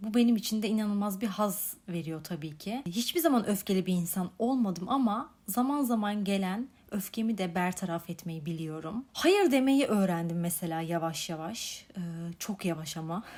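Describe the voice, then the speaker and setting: At a moderate pace, a woman with a medium pitch and a somewhat breathy sound speaks with lively intonation. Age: 20s. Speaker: podcast host. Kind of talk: solo reflective monologue.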